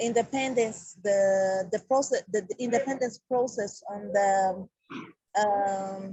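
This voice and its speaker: In a somewhat breathy voice of medium pitch, a woman speaks at a very slow pace with fairly even intonation. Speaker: community representative. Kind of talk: country report at an online meeting. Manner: halting, many fillers and repetitions.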